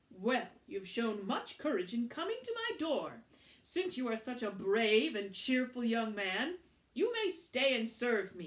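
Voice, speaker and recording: Using a put-on character voice, a woman speaks at a high pitch and a fairly slow pace with very wide pitch swings. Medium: read story. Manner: gentle, warm.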